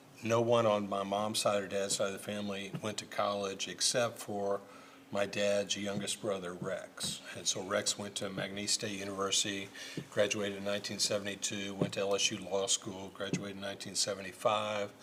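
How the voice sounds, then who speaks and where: Flat, monotone intonation at a moderate pace, with noticeable background noise. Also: man, fairly low pitch for a man. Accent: American. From Indiana, Bloomington. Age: 50s. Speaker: lawyer. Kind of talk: casual interview chat.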